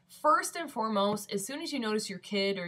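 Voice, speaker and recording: A woman with a Midwestern accent at a fairly quick pace. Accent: Midwestern twang. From US Midwest (Michigan). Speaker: vlogger. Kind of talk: casual vlog. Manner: casual, filler-heavy.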